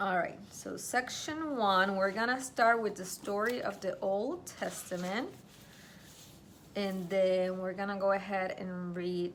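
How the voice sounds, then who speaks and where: In a room with audible echo, a woman with a non-native accent speaks at a very slow pace. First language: not English. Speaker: Bible study vlogger. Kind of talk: casual Bible study tutorial.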